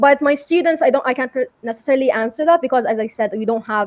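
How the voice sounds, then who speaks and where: The intonation is lively. The speaker has an Arabic accent. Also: woman. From Saudi Arabia. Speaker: English teacher. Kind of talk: interview.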